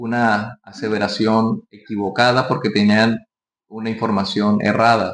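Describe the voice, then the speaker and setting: This man's intonation stays fairly even as he talks at a fairly slow pace. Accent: Colombian Caribbean. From Colombian Caribbean coast, Barranquilla. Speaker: pastor. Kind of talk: sermon.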